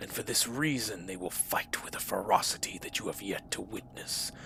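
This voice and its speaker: A man's raspy, put-on character voice over clear background noise. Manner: commanding, menacing.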